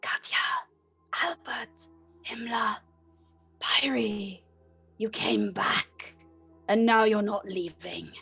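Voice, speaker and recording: Faint music plays in the background as a female-sounding, put-on character voice with a fairly high pitch speaks at a very slow pace. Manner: whispering.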